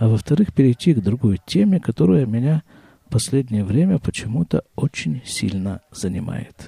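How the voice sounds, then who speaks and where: A man's voice sits at a medium pitch, relaxed, dark and mellow in tone. It is somewhat breathy, with very wide pitch swings. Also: moderate pace, dry, close sound with no echo. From Krasnoyarsk, Siberia, Russia. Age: 50s. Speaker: podcaster. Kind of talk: solo monologue podcast, casual. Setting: home, family sounds in background. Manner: relaxed, conversational, reflective.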